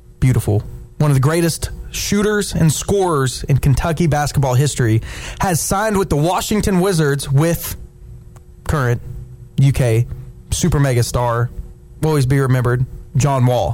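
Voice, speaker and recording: At a moderate pace with lively intonation and very even loudness, the speech has long, frequent pauses over noticeable background noise. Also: man, fairly high pitch for a man. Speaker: radio host. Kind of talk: sports radio talk show banter. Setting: studio. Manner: animated, enthusiastic.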